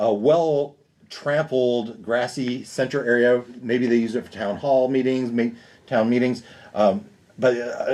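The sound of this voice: An unforced reading voice keeps a fairly even intonation.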